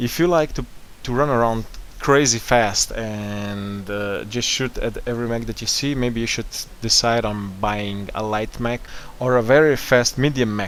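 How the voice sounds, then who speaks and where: A man with a non-native accent speaks at a medium pitch. He keeps a moderate pace with ordinary pitch variation. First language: not English. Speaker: gaming tutorial host. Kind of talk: gaming tutorial narration.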